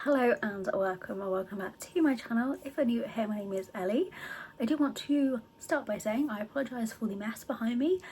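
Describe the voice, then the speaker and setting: Speaking at a fairly quick pace, the voice carries a British accent and lively intonation. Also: woman, fairly high pitch for a woman. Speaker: book vlogger. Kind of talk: casual vlog talk. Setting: home book room. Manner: soft-spoken.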